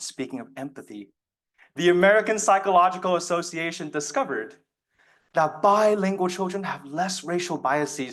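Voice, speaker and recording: A man with a Chinese accent speaks at a high pitch. His pace is moderate, with ordinary pitch variation. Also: quiet background. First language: Mandarin Chinese. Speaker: student speech contestant. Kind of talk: speech. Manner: formal.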